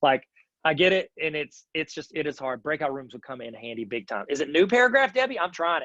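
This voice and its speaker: An animated man talks at a fairly quick pace and fairly high pitch, with very wide pitch swings and big swings in loudness. His tone is bright and sharp, and the sound is dry and close with no echo. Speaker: educational technology trainer. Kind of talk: online teacher workshop. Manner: slurs his words a bit.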